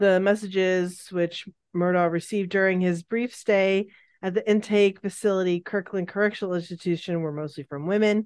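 Over a quiet background, a woman with an unremarkable speaking voice talks at a moderate pace in a medium pitch, her intonation fairly even. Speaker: true crime podcast co-host. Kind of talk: casual true crime storytelling chat. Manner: giggly, playful.

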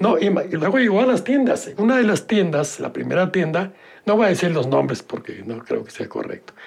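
Speaking at a moderate pace with a Mexican accent, a man uses a high pitch and very wide pitch swings. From Mexico City. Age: 80s+. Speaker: board game creator. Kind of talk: interview.

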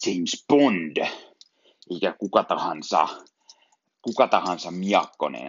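A man speaks at a very slow pace with a very deep, low pitch. His voice makes very wide pitch swings. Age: 30s. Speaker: film podcaster. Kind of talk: solo film review podcast. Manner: halting, many fillers and repetitions.

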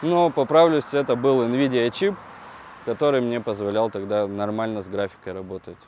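Lively intonation from a man, medium-pitched, moving at a moderate pace. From Russia, Yekaterinburg (Urals). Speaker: technical artist. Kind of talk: casual interview. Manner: halting, many fillers.

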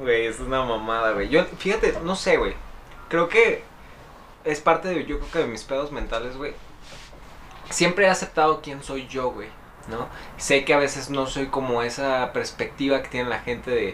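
Speech in a Mexican accent at a moderate pace, with ordinary pitch variation, long, frequent pauses and noticeable background noise. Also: man, fairly high pitch for a man. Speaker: podcast co-host. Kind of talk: casual chat.

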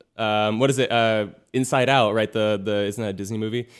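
At a fairly quick pace, a man talks with fairly low pitch and fairly even intonation. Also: very clean recording, silent background. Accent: Californian. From US West Coast, Los Angeles area. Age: 20s. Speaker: singer-songwriter and YouTuber. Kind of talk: casual interview chat. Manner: halting, many fillers and restarts.

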